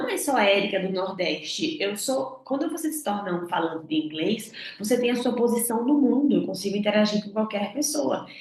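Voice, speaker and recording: A woman with a northeastern Brazilian accent makes very wide pitch swings, with audible room echo around her. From Northeast Brazil. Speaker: English communication coach. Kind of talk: online lesson.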